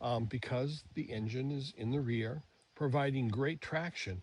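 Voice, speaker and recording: This man's voice is somewhat breathy and medium in pitch. The background is quiet. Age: 70s. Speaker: DIY product reviewer. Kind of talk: product review tutorial. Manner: casual, many fillers.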